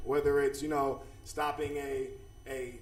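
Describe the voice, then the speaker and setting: Noticeable background noise and audible room echo surround the man as he talks. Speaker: dean of students at a school. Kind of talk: presentation at a school board meeting. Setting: public board meeting. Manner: energetic.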